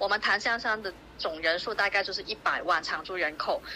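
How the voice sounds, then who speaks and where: Lively intonation marks this woman's medium-pitched delivery. She has an unremarkable speaking voice and keeps a moderate pace. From Zhongshan, Guangdong, China. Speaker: community group organizer. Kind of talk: interview.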